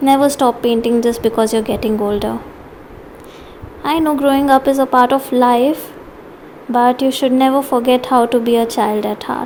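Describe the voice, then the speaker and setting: The voice has a gentle tone and flat, monotone intonation at a moderate pace. Long, frequent pauses break it up amid noticeable background noise. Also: woman, high pitch for a woman. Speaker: art teacher. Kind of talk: tutorial.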